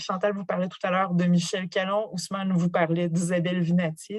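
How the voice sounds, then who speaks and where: A woman's somewhat breathy voice. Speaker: professor. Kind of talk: lecture.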